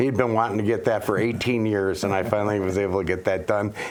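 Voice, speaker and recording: Someone with an American accent speaks in a monotone, flat intonation against noticeable background noise. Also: man. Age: 60s. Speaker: local election candidate. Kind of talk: interview. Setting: studio. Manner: halting, many fillers.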